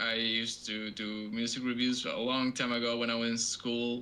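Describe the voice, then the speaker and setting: This man's tone is bright and sharp. He talks at a fairly slow pace. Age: 20s. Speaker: podcast co-host, musician. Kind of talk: casual chat. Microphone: cheap low-quality microphone.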